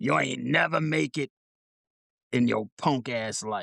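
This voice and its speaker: A man does a put-on character voice at a medium pitch. He delivers it at a fairly slow pace. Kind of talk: street slang. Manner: mocking, contemptuous.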